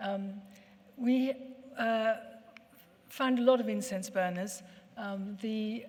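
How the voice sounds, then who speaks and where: Audible room echo surrounds a woman whose intonation is fairly even. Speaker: ceramics researcher and co-author. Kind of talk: lecture. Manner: hesitant, many fillers.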